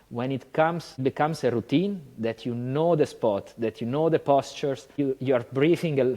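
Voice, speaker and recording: Man with an Italian accent, fairly high-pitched and dark, mellow in tone, at a moderate pace with hardly any pauses and ordinary pitch variation. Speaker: yoga teacher. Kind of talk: casual chat.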